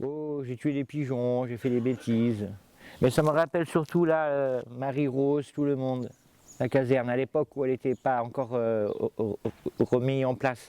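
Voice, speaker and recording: A man talks at a moderate pace and medium pitch with fairly even intonation. His dark, mellow tone comes through in a dry, close sound with no echo. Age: 40s. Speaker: villager. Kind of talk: reminiscing interview.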